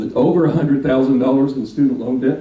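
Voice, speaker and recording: With a Texan accent, a man talks at a very fast pace amid noticeable background noise and audible room echo. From Texas (Dallas). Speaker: minister. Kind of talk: speech to a local political group.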